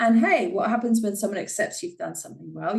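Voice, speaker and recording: This voice carries vocal fry and moves with lively intonation. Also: woman. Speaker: podcast host. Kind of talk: solo podcast monologue. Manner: frequent filler sounds (uh, um).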